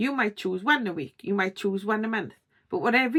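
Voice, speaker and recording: In a very clean recording with a silent background, a woman speaks with a strong Welsh accent at medium pitch. Her intonation is lively, and the sound is dry and close with no echo. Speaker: YouTube creator, coach. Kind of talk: tutorial.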